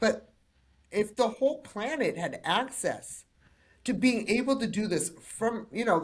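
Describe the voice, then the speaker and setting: On a very clean recording with a silent background, a woman sounds somewhat breathy and speaks in an animated tone. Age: 50s. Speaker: personal development coach and podcast host. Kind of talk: interview podcast.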